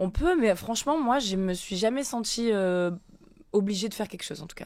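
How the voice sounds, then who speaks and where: Here is a woman with a plain, everyday voice and a medium pitch, speaking at a moderate pace. Her intonation is lively, and her loudness swings widely. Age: 30s. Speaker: influencer and former reality TV contestant. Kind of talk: interview. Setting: studio.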